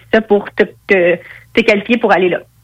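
At a moderate pace, a woman speaks in a plain, everyday voice at medium pitch with fairly even intonation. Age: 20s. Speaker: professional boxer. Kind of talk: interview.

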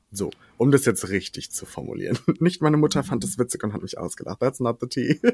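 A man with a somewhat breathy, medium-pitched voice speaks fairly quickly with lively intonation and big swings in loudness, in a dry, close sound with no echo. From western Germany, Ahrweiler area. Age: 20s. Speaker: drag queen and singer. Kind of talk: casual chat.

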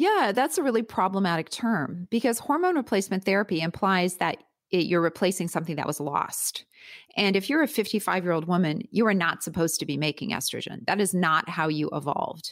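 A woman with a plain, everyday voice, medium pitch, lively intonation and a fairly quick pace. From Canada, Winnipeg. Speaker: gynaecologist and author. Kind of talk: interview conversation. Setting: remote call from her bedroom.

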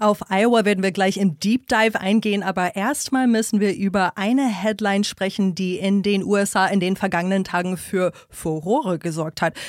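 With an English accent, a woman speaks at a moderate pace and medium pitch, with ordinary pitch variation, very even loudness and hardly any pauses. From US, New York State. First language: English (speaking German). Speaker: podcast host and interviewer. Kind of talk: political analysis chat. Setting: studio.

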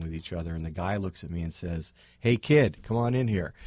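A man's very deep, low voice with a dark, mellow tone and an American accent, on a very clean recording with a silent background. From Berkeley, California. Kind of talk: radio interview. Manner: hesitant with fillers.

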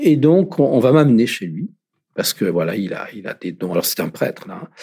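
Speaking at a fairly slow pace, a man with a medium-pitched voice shows vocal fry. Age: 50s. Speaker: former seminarian, LGBT faith advocate. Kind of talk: testimony. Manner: halting.

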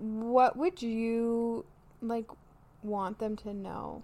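This woman speaks very slowly in a Canadian accent. Her voice sits fairly high in pitch. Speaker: psychology graduate student and podcast host. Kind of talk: casual chat.

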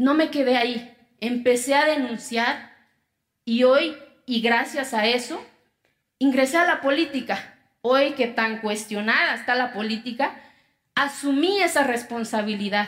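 A woman speaks at a high pitch with ordinary pitch variation and very even loudness. Her pace is fairly slow, with long, frequent pauses. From Oaxaca, Mexico. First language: Zapotec (speaking Spanish). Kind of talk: talk.

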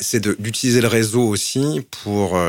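A man with ordinary pitch variation, on a very clean recording with a silent background. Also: dry, close sound with no echo. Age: 40s. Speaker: marketing executive and LGBT network co-founder. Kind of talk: testimony. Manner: hesitant, many fillers.

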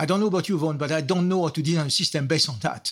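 On a very clean recording with a silent background, a man with a plain, everyday voice speaks in a fairly high pitch with ordinary pitch variation. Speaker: software architect, consultant, author. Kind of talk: interview conversation.

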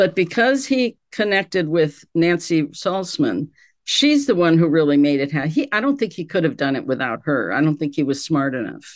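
With an American accent, a woman talks at a moderate pace in a fairly low voice, her pitch swinging very widely and hardly ever pausing. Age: 70s. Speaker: retired sociology professor and cult expert. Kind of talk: interview.

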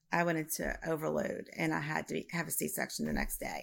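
A woman with a Louisiana accent talks at a moderate pace on a very clean recording with a silent background. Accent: Southern US (Louisiana). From Louisiana, US South. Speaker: reading client, bereaved mother.

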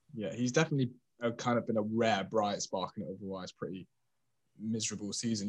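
A man talks at a fairly quick pace in a fairly low pitch. He has a plain, everyday voice with ordinary pitch variation. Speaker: podcast host. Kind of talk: casual football discussion.

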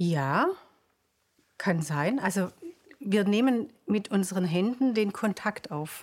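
Speaking at a very slow pace, a woman leaves long, frequent pauses. Her intonation is lively. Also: medium pitch for a woman. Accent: Swabian. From Swabia, near Stuttgart. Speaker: pediatric osteopath. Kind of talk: interview. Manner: halting, many fillers.

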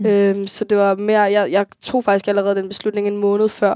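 A woman speaks at a moderate pace with a dark, mellow tone at medium pitch. The sound is dry and close, with no echo. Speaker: young person who grew up in care. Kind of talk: interview.

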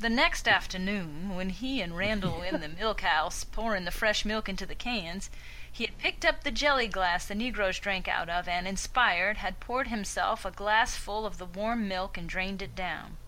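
Over noticeable background noise, a woman puts on a drawling character voice at a medium pitch, keeping a moderate pace with hardly any pauses.

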